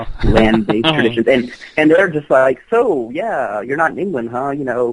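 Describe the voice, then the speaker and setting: Over noticeable background noise, a man with an American accent talks at a moderate pace in a medium pitch. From South Louisiana, United States. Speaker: folklorist and practitioner of witchcraft. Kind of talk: interview answer.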